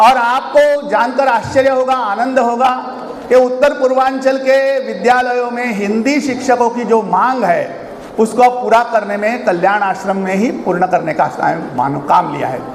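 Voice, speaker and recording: A man with a Marathi accent and an extremely high pitch speaks with ordinary pitch variation, with audible room echo and noticeable background noise. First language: Marathi (speaking Hindi). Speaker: organization publicity head, chief speaker. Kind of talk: speech at annual function. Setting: hall with audience.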